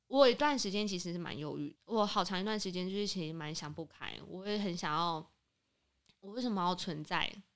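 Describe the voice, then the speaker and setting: A woman talks in a normal speaking voice at medium pitch, with ordinary pitch variation. Her pace is fairly quick, and the recording is very clean with a silent background. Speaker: insurance broker. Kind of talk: casual chat.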